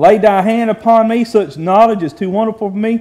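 A dark, mellow tone at a moderate pace with ordinary pitch variation, over a quiet background. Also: man. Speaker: preacher. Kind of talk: sermon. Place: church.

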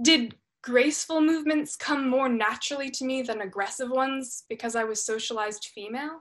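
A woman speaks in a high pitch with ordinary variation and hardly any pauses. The background stays quiet. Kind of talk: dramatic monologue performance. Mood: reflective, expressive storytelling. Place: home room. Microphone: webcam.

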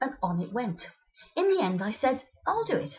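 A high-pitched woman at a moderate pace. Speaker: storyteller. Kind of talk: comic monologue. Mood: exasperated, wry humour. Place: home room. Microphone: webcam.

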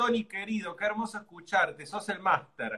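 A man speaks in a raised, projected voice at a moderate pace. His pitch is high. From Argentina. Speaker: cooking show host. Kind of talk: casual chat. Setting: live stream video. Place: home room.

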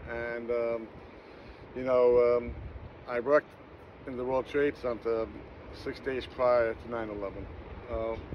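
Light background noise is audible as a man speaks at a very slow pace. His intonation is monotone and flat, with long, frequent pauses. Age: 60s. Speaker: wallpaper hanger; vlogger. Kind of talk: holiday video message. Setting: outdoors at the beach. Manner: halting with many fillers. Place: beach. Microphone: phone near.

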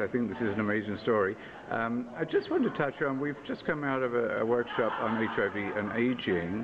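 A man at a fairly quick pace, ordinary pitch variation, and noticeable background noise. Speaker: interviewer. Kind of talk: interview questions. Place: hall.

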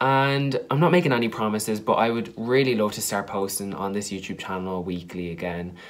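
A man with an Irish accent talks at a fairly quick pace with hardly any pauses. His pitch is fairly low and his intonation lively. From Ireland. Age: young. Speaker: YouTuber, drama student; YouTuber. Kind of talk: casual vlog to camera. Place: home room. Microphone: webcam.

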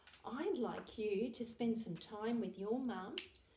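Audible room echo surrounds a woman speaking at a fairly slow pace. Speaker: early years teacher. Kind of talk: lesson for young children. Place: home room. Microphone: camera far.

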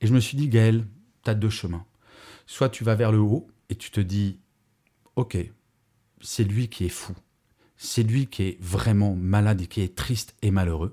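Over a quiet background, a man with a fairly low pitch and a dark, mellow, somewhat breathy tone talks at a fairly slow pace with long, frequent pauses. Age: 50s. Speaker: podcaster and conference speaker; podcaster, conference speaker. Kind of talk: podcast monologue. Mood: earnest, reflective, upbeat. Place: home room. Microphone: studio mic.

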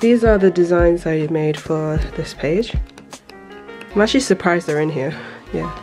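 Over clear background music, a woman with a fairly low pitch and ordinary pitch variation talks at a moderate pace, leaving long, frequent pauses. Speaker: illustrator. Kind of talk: casual talk to camera. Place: home room.

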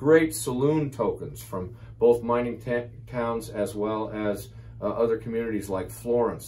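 An enthusiastic-sounding man with a Western US accent speaks at a fairly slow pace. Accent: American, Western. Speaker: auction house owner presenting auction items. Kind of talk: auction promotional presentation to camera. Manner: enthusiastic, conversational, with filler words. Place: office.

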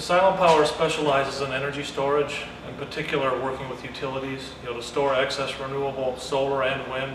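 A man's very fast, monotone, flat delivery, with audible room echo and noticeable background noise. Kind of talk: interview answer. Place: factory.

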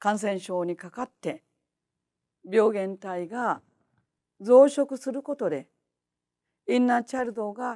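A woman's dark, mellow voice with very wide pitch swings, at a fairly slow pace against a quiet background. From Japan. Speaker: homeopath; lecturer. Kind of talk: lecture. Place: hall.

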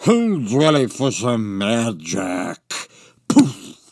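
A man speaks at a very slow pace in a cartoonish character voice with lively intonation. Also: medium pitch for a man. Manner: showman turned menacing.

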